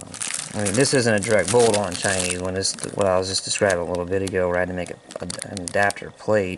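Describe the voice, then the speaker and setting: Against noticeable background noise, the words come out very fast. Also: man, very deep, low pitch for a man. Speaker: atv hobbyist mechanic. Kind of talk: tutorial. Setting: outdoors. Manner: casual, filler-heavy.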